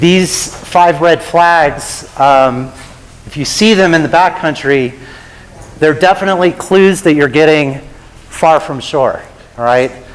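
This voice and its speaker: A man with a fairly high pitch speaks at a fairly slow pace, his pitch varying in an ordinary way and broken by long, frequent pauses. Noticeable background noise and audible room echo surround his voice. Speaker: avalanche safety presenter. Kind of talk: lecture.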